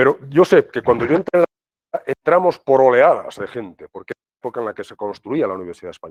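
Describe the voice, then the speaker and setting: The sound is dry and close with no echo as a man talks at a very fast pace. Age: 60s. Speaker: professor. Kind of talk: lecture. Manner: conversational, filler-heavy.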